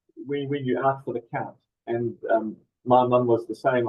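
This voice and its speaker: A man speaks at a moderate pace in a New Zealand accent. His voice sits at a medium pitch. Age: 60s. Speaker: charity representative with Parkinson's. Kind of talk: webinar moderation. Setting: video webinar.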